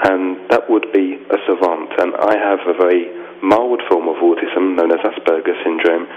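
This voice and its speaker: Over noticeable background noise, a man with a London accent speaks at a very deep, low pitch and a moderate pace, with fairly even intonation and very even loudness. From London, England. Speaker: author. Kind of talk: radio interview.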